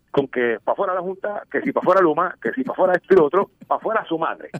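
A man talks at a moderate pace. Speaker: news commentary segment contributor. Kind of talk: humorous news commentary. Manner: animated.

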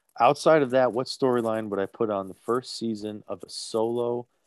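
A man with a New Jersey accent, fairly even intonation, and a dry, close sound with no echo on a very clean recording with a silent background. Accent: New Jersey American. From New Jersey, US. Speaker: podcast host. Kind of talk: casual chat.

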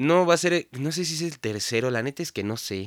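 A man with a Mexican accent uses a bright, sharp tone and very wide pitch swings. The sound is dry and close with no echo, on a very clean recording with a silent background. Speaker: podcast host. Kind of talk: casual monologue. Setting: home studio. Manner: stuttering, filler-heavy.

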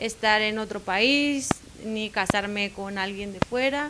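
A woman's fairly high, bright and sharp voice at a fairly slow pace. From Mexico, Baja California Sur. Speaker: pastor's wife. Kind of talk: interview.

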